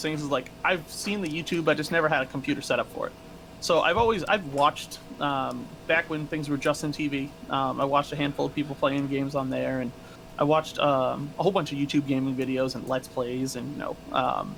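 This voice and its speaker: Music plays in the background as a man talks at a fairly quick pace. His voice is fairly high, with ordinary pitch variation. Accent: American. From New England, Massachusetts. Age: 30s. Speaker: streamer, former corrections officer. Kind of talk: interview.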